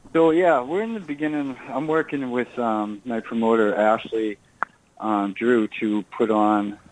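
Noticeable background noise runs under the clip. A man with an American accent talks at a fairly slow pace, with ordinary pitch variation. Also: medium pitch for a man. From Massachusetts, Burlington. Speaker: musician and actor. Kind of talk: radio interview.

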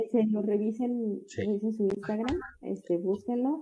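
Somewhat breathy and dark, mellow in tone, a woman's medium-pitched voice keeps a fairly even intonation. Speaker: podcast co-host. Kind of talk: casual chat.

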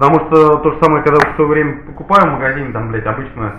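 Amid noticeable background noise and audible room echo, a man talks at a very fast pace in a fairly high pitch with lively intonation. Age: 30s. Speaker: podcast host. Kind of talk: casual chat. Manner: animated.

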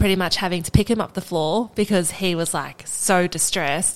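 In an Australian accent, a woman talks at medium pitch and a moderate pace, her intonation fairly even. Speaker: Olympic rugby sevens player. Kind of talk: interview.

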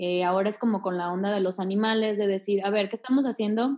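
Here is an ordinary speaking voice from a woman at medium pitch. She talks at a fairly quick pace with fairly even intonation. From Mexico, Aguascalientes. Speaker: yoga teacher and vegan activist. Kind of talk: interview conversation.

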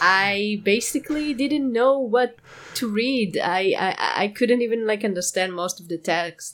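In a non-native accent, a woman speaks at a fairly slow pace, her fairly high voice showing lively intonation and big swings in loudness. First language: not English. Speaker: podcast co-host, former forum moderator. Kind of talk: casual chat. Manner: halting, many fillers.

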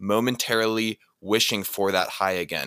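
The tone of this man's voice is bright and sharp. He takes a fairly slow pace. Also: very clean recording, silent background. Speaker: co-host. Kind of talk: interview.

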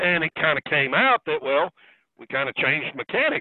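A man with an American accent, fairly high pitch, fairly quick pace and very wide pitch swings. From US South. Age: 70s. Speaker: karting driver and engine builder. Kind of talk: casual interview.

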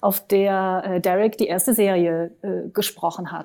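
A woman speaks at a medium pitch in a dark, mellow tone with fairly even intonation. The recording is very clean, with a silent background. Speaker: naturopath and body therapist, yoga practitioner. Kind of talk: interview conversation. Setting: at home in her living room.

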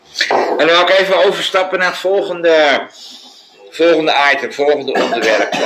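A man speaks at a high pitch and moderate pace, with ordinary pitch variation and very even loudness. Noticeable background noise and audible room echo are present. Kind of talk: casual chat. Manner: hesitant, many uh's.

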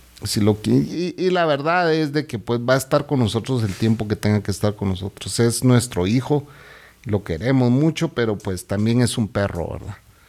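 A man with a plain, everyday voice, medium in pitch, with lively intonation at a moderate pace. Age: 50s. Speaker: podcast host. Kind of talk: casual chat.

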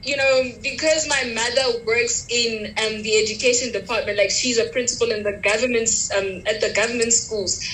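Over noticeable background noise, a woman with a fairly high pitch and fairly even intonation speaks at a moderate pace with hardly any pauses. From Pretoria, South Africa. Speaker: university student, podcast host. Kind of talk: casual chat.

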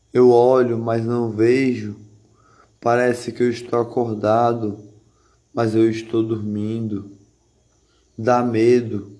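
Very slow, monotone speech from a man at medium pitch, dark and mellow in tone, with long, frequent pauses and audible room echo. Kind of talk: spoken word monologue. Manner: repetitive, rhythmic.

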